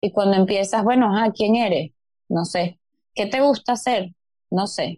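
A woman's fairly high-pitched voice with a dark, mellow tone, ordinary pitch variation and a moderate pace, in a dry, close sound with no echo. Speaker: spiritual coach. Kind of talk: casual interview.

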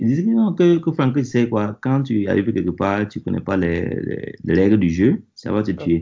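At a fairly slow pace, a man speaks with a fairly low pitch and very wide pitch swings. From Burkina Faso. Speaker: network engineer. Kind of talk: interview. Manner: halting, many repetitions.

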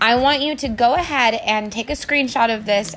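A woman's fairly high, upbeat, enthusiastic voice at a moderate pace, lively in intonation, over noticeable background noise. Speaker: podcast host and network marketing entrepreneur. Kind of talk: podcast intro and outro, motivational. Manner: upbeat, enthusiastic, motivational.

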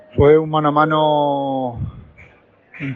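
A man against noticeable background noise. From Spain, Murcia. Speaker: matador acting as field reporter. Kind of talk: phone report.

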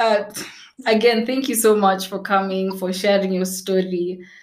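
A woman with a medium pitch and an animated tone talks at a fairly slow pace, with audible room echo. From Kenya. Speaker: podcast host, travel photographer. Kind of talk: casual interview chat. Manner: animated, laughing often.

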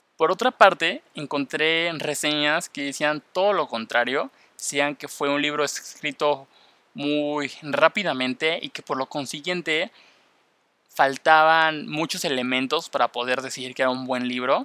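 A man with a Mexican accent speaks at a fairly high pitch in a bright, sharp tone. The sound is dry and close with no echo, in a very clean recording with a silent background. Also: ordinary pitch variation, fairly slow pace. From Mexico. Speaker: podcast host. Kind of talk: casual podcast monologue.

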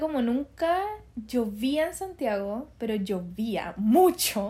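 A woman's dark, mellow voice in a Chilean accent, high-pitched and lively in intonation, at a very slow pace. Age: 20s. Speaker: young mother and nursing student. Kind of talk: casual chat.

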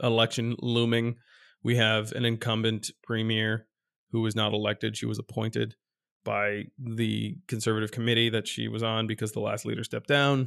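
A man in a normal speaking voice, medium in pitch, at a fairly quick pace. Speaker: podcast co-host. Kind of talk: casual comedic banter podcast. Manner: joking, playful.

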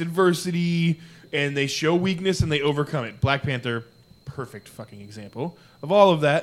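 Speaking at a moderate pace, a man with an American accent has an unremarkable speaking voice. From Arizona. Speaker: podcast co-host. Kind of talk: casual chat.

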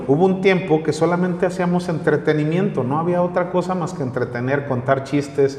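A man talks fairly quickly at a fairly high pitch, with hardly any pauses and ordinary pitch variation. Noticeable background noise sits behind him. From northern Mexico (Comarca Lagunera). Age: 40s. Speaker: local news streamer and political commentator. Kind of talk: casual interview chat.

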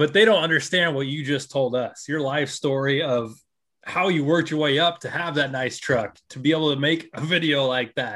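A man with a fairly high voice, a normal speaking voice, a moderate pace and ordinary pitch variation. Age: 20s. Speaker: podcast host. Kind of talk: casual chat.

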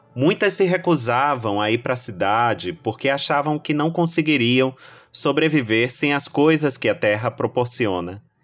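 Lively intonation and a moderate pace from a man with an ordinary speaking voice. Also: medium pitch for a man, very even loudness. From Brazil, Salvador, Bahia. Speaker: novelist. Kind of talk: first-person narration.

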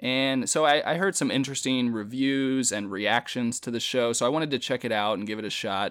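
A man speaks at a fairly quick pace with medium pitch. He has a plain, everyday voice with ordinary pitch variation. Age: 30s. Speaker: podcast co-host. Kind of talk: casual chat. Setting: remote recording.

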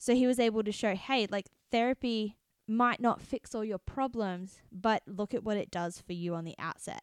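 In a very clean recording with a silent background and a dry, close sound with no echo, a woman with an Australian accent speaks at a moderate pace, her fairly high voice showing ordinary pitch variation. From Australia, city. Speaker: podcast host. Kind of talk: casual chat.

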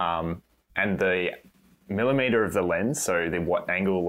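Music plays behind a man whose voice is very deep and low. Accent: Australian. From Australia. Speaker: cinematographer and photographer. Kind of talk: casual chat.

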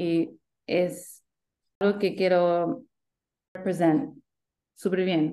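Speaking very slowly, a woman with an Australian accent has a fairly low pitch and a dark, mellow tone. The background is quiet. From Sydney, Australia. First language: English (speaking Spanish). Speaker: community founder. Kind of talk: interview. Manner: halting, code-switching to English.

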